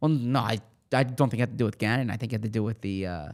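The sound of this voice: With a Philadelphia accent, a man of medium pitch speaks very fast with ordinary pitch variation.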